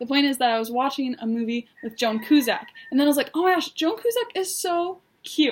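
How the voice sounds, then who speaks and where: A high-pitched woman with very wide pitch swings. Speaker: vlogger. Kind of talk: casual vlog monologue. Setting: in her bedroom. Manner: fast; animated.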